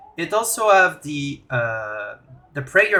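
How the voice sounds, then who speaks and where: Very slowly, a man with a Quebec accent talks in a bright, sharp tone. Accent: French Canadian accent in English. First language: French. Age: 20s. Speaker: gaming YouTuber. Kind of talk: tutorial. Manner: halting.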